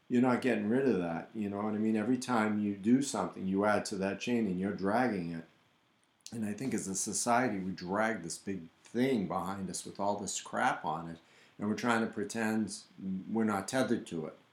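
An ordinary speaking voice from a man, fairly low in pitch, fairly quick, with fairly even intonation. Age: 60s. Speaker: podcast co-host, painter. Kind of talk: casual chat.

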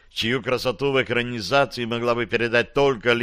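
A natural reading voice. The intonation stays fairly even.

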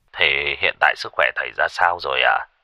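A man in a put-on character voice, extremely low in pitch with a bright, sharp tone, at a fairly quick pace, in a dry, close sound with no echo. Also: ordinary pitch variation.

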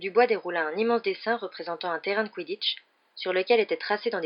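Reading aloud in a natural voice, pitch shifting in an ordinary way

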